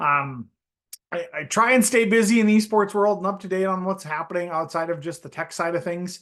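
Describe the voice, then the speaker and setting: With a strong Upper Midwest accent, a man talks at a fairly quick pace in a high pitch with ordinary pitch variation. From North Dakota. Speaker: esports hardware solutions director. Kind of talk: webinar presentation. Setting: online webinar. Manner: many filler words (uh, um).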